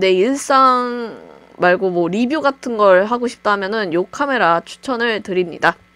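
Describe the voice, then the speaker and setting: A woman's voice sits at a fairly high pitch and varies in an ordinary way. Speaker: YouTuber, gaming channel. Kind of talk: tutorial. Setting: home recording with webcam. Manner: casual, conversational.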